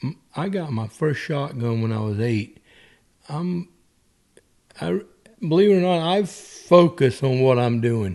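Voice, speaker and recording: Speaking in a South Carolina Lowcountry accent with a dark, mellow tone, the voice moves at a fairly slow pace through very wide pitch swings and long, frequent pauses. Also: man. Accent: Southern US (South Carolina Lowcountry). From US South, South Carolina Lowcountry (Ridgeland). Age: 60s. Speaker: golfer and businessman. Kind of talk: casual chat. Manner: animated.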